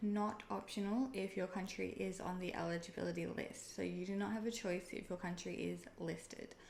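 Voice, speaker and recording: A woman talks at a fairly quick pace with an Australian accent. Noticeable background noise runs behind her. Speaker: online seller and video creator. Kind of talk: tutorial. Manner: casual, conversational.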